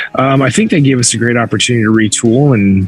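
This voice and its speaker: A man talks at a fairly quick pace with fairly even intonation while music plays in the background. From USA. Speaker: rock band vocalist. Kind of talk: interview. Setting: video call from a closet.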